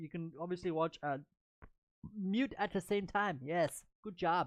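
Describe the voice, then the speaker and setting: Against a quiet background, a woman talks in a normal speaking voice at medium pitch, with ordinary pitch variation and a fairly slow pace. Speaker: chess stream commentator. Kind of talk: live commentary. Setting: live stream.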